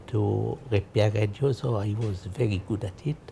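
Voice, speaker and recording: A man's somewhat breathy, dark, mellow voice, fairly low in pitch, at a fairly slow pace with fairly even intonation. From Egypt. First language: French. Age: 80s+. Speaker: interviewee telling life story. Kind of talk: life story interview.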